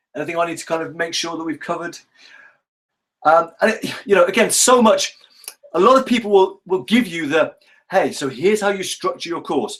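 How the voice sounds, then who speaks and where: The voice has lively intonation at a fairly quick pace. Long, frequent pauses break up the speech. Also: man, high pitch for a man. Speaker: online course coach. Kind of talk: live webinar teaching. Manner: fast; animated.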